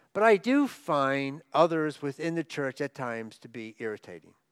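In a very clean recording with a silent background and a dry, close sound with no echo, a man with an unremarkable speaking voice and fairly high pitch talks at a fairly slow pace with lively intonation. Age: 60s. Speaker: guest preacher. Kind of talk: sermon. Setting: church.

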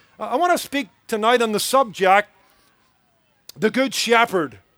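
Speaking in a Northern Irish accent, a man keeps a moderate pace with ordinary pitch variation. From Northern Ireland, Belfast. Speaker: pastor. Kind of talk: sermon. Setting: church service with audience.

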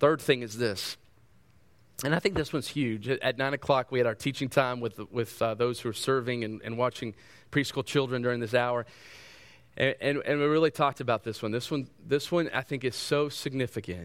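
A man speaks at a fairly quick clip in an unremarkable speaking voice, his medium pitch moving with ordinary variation on a very clean recording with a silent background. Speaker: preacher. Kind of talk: sermon with fervent prayer. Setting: church. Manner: fervent, earnest, pleading.

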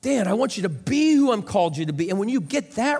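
Speaking at a fairly quick pace, a man with an American accent makes very wide pitch swings. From US Midwest, rural central Illinois. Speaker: pastor. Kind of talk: sermon.

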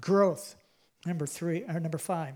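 The voice is loud and animated at a moderate pace. The recording is very clean, with a silent background. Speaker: pastor. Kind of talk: sermon. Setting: church with congregation.

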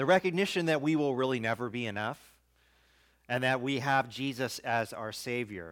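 In a very clean recording with a silent background, a man with a normal speaking voice talks at medium pitch and moderate pace with lively intonation. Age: 40s. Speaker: pastor. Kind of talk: sermon.

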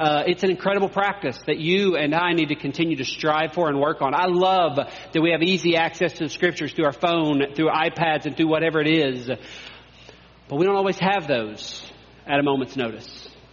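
Over noticeable background noise, a man with a fairly high voice talks at a fairly quick pace with ordinary pitch variation. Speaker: pastor. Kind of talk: sermon. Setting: church.

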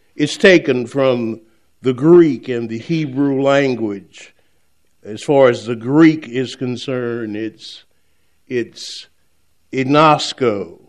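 Speaking at a very slow pace, a man leaves long, frequent pauses, and his loudness swings widely. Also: medium pitch for a man, ordinary pitch variation. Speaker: retired pastor, guest preacher. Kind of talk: sermon.

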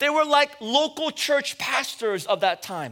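On a very clean recording with a silent background, a man uses a raised, projected voice of extremely high pitch and bright, sharp tone, speaking at a fairly slow pace with ordinary pitch variation. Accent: West Coast American. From US West Coast, San Francisco. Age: 40s. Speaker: pastor. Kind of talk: sermon.

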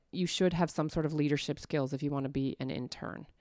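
A woman's voice comes through with a dry, close sound with no echo, on a very clean recording with a silent background. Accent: central Canadian. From Ontario, Canada (Stouffville). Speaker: church women's ministry director. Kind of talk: casual interview.

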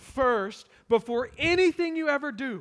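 With an American accent, a man talks in an animated tone with ordinary pitch variation. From US small town. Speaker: pastor, church planter. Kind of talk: sermon. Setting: church. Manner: loud.

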